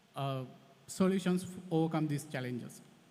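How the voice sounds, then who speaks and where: A man's high-pitched voice with a dark, mellow tone, amid audible room echo. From Sri Lanka. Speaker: conservation scientist. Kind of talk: conference talk. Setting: conference hall with audience. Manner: halting.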